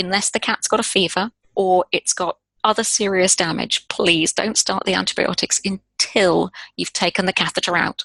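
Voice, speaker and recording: Medium-pitched with a bright, sharp tone and vocal fry, a woman talks at a moderate pace in monotone, flat intonation, with a dry, close sound and no echo. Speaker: veterinary specialist speaker. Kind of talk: webinar Q&A answers.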